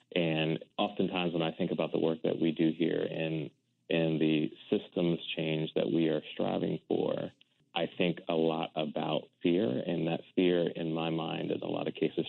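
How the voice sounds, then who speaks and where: The speaker has an American accent, fairly even intonation and a moderate pace. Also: man. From US Mid-Atlantic, Washington DC area (Silver Spring, Maryland). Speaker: nonprofit finance executive. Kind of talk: interview.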